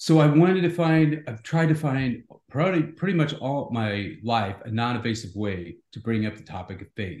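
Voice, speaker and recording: A man's medium-pitched, somewhat breathy voice at a moderate pace, with hardly any pauses, big swings in loudness, and very wide pitch swings. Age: 50s. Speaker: CEO and author. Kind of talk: interview.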